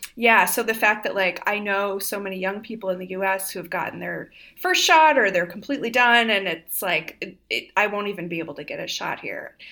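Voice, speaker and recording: Over noticeable background noise, a woman speaks with hardly any pauses. Her medium pitch shows ordinary variation. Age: 30s. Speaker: writer and scholar. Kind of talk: casual chat.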